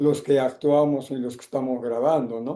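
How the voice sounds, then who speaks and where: The man's voice has a dark, mellow tone. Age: 80s+. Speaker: actor. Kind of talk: interview. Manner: halting, many fillers.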